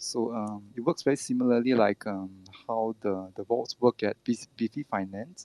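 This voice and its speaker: Heard in a dry, close sound with no echo, a man speaks at a moderate pace with medium pitch and fairly even intonation. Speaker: crypto project team member. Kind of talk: Twitter Spaces AMA interview. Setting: online audio space. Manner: halting, many filler words.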